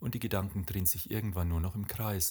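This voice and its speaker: A man's somewhat breathy, fairly low voice with ordinary pitch variation, on a very clean recording with a silent background. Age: 50s. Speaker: podcast host. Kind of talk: reflective monologue.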